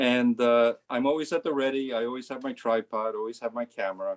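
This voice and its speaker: In a plain, everyday voice, a man speaks at a fairly quick pace and medium pitch with fairly even intonation. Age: 60s. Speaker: amateur photographer and physicist. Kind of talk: casual talk about own photo. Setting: video call.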